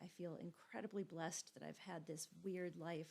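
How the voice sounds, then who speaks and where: A woman's fairly low pitch, fairly even intonation and fairly quick pace. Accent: Minnesotan. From Minnesota. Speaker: GIS instructor. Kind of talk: course introduction lecture. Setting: recorded video. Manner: casual, informal with fillers.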